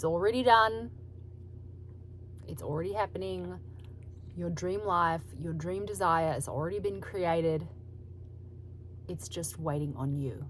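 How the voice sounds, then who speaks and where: In an Australian accent, the words come at a moderate pace. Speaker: solo video host talking about manifestation. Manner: casual, conversational.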